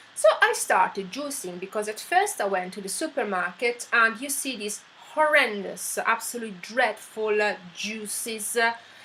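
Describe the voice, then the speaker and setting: With an Italian accent and a fairly high pitch, a woman speaks at a moderate pace with hardly any pauses, ordinary pitch variation and big swings in loudness over noticeable background noise. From Italy. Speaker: vlogger. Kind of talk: personal story monologue. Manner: hesitant, many fillers.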